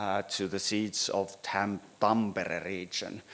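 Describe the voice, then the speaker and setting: A man with a Finnish accent speaks very slowly at a fairly low pitch, on a very clean recording with a silent background. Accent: Finnish accent, rusty English. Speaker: city planning architect. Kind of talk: presentation at a meeting. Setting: town hall meeting room. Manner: halting, many hesitations.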